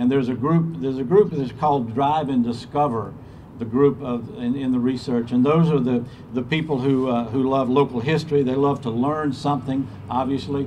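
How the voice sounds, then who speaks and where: A man talks at a fairly quick clip in a medium pitch. Light background noise sits under his voice. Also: fairly even intonation. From US South, Georgia. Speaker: state tourism official. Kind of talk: ceremony speech. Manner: halting, repeats words. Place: street. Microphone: podium.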